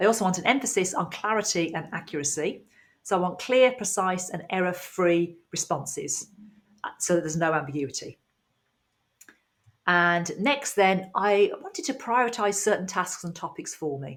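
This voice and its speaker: A woman with a British accent talks at a moderate pace, her medium-pitched voice carrying lively intonation. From UK. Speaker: IT trainer. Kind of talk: tutorial. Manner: clear, explanatory.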